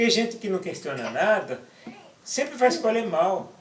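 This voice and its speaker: Clearly noticeable background noise sits behind a man talking at a moderate tempo. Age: 60s. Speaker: interviewee, activist writer. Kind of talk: interview. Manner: halting, repeats words.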